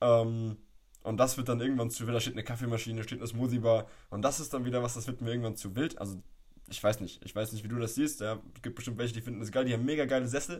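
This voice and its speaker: Speaking at a very fast pace, a man has a medium pitch and a somewhat breathy voice. His intonation stays fairly even. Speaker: podcast host, personal trainer. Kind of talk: casual chat. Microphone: poor audio quality.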